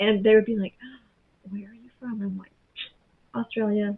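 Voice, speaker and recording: Speaking at a fairly high pitch, a woman talks with a Southern US accent. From US South, rural Appalachia. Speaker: educational advocate. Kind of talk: casual chat.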